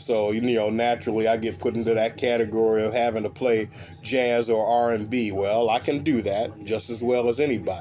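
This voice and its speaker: With music playing behind him, a man talks at a medium pitch and a fairly quick pace, barely pausing, in a flat monotone. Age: 60s. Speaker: bass player. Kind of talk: casual chat. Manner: halting.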